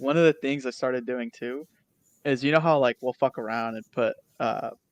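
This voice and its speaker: At a moderate pace and medium pitch, a man uses fairly even intonation in an unremarkable speaking voice. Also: dry, close sound with no echo. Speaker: podcast co-host. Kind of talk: casual chat.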